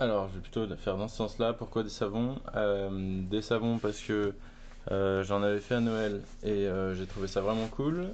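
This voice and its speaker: A man's fairly low voice moves at a fairly slow pace. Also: fairly even intonation. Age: 20s. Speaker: artisan soap maker, entrepreneur. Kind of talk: interview. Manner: hesitant, many fillers.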